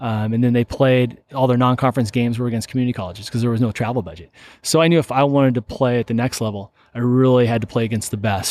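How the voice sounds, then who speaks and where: With an American accent, a man speaks very fast at a medium pitch. His intonation is fairly even, and the background is quiet. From Seattle, Washington. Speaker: entrepreneur and former baseball player. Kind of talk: interview. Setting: company warehouse.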